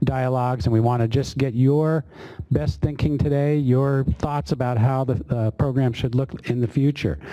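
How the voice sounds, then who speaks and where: Pitch rises and falls in an ordinary way. The pace is moderate. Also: man. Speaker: government official moderating a public workshop. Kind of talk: workshop opening remarks. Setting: meeting room with audience, webinar. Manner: hesitant, many fillers.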